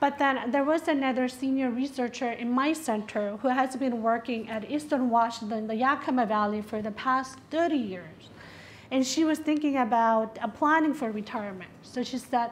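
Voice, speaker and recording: A woman's high-pitched voice with a Spanish accent, ordinary pitch variation and a moderate pace. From South America. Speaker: health researcher. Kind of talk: panel presentation.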